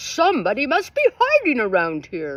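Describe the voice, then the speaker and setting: In a put-on character voice, a woman speaks at a high pitch. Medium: read story.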